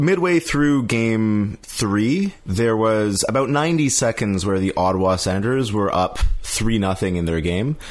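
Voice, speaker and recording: At a fairly slow pace yet with hardly any pauses, a man with a fairly low pitch speaks with lively intonation and very even loudness. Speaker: podcast host. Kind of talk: casual chat. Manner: animated, joking.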